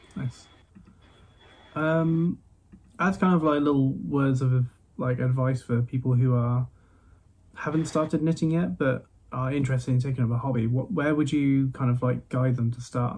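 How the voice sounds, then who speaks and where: Speaking at a moderate pace with long, frequent pauses, a man in a slight Midlands accent has a medium-pitched, somewhat breathy voice with ordinary pitch variation. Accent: English Midlands, light. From Midlands, England. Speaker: podcast host. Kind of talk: casual interview chat. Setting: remote recording with older microphone.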